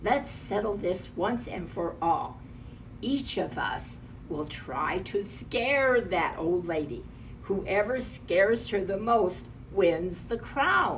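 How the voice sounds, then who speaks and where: A female-sounding put-on character voice at a middle pitch, very slow, over clear background noise. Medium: read story.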